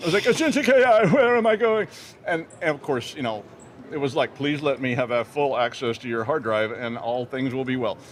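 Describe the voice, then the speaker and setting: Against noticeable background noise, a man talks at a fairly quick pace with a fairly high pitch and very wide pitch swings. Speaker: cybersecurity news show host. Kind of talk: casual comedic banter on live broadcast. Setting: live broadcast booth at a conference. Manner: animated.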